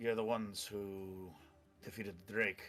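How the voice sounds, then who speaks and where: Faint music plays in the background as a man uses a put-on character voice with a fairly low pitch at a moderate pace. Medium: actual play. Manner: curt, guarded.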